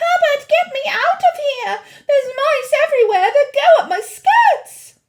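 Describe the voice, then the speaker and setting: Shouting in a shrill, squeaky put-on character voice, the speaker keeps a moderate pace. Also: female-sounding voice, extremely high pitch for a woman. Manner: screaming, panicked.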